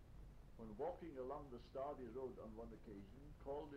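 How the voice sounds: A natural reading voice comes through in this clip.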